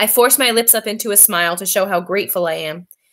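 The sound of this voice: With ordinary pitch variation, an unforced reading voice comes through.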